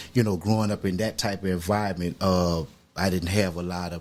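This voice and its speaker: Here a man talks at a moderate pace with an American accent. His pitch is very deep and low. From New Orleans, Louisiana (Sixth Ward). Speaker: podcast guest, formerly incarcerated, business owner. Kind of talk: interview, personal life story. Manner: halting, many fillers.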